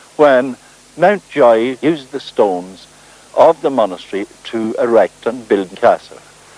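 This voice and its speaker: A man speaks fairly slowly with lively intonation and a Northern Irish accent. The sound is dry and close with no echo, though background noise is noticeable. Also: medium pitch for a man. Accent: South Armagh Irish. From South Armagh, Northern Ireland. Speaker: folklorist and writer. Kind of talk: documentary presenting on location.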